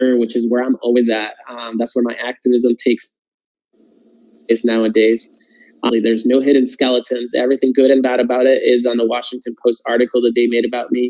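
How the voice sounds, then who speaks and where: A man with a Puerto Rican accent talks at a fairly quick pace in a medium pitch with monotone, flat intonation. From Puerto Rico. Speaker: political candidate. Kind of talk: testimony. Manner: halting, many fillers.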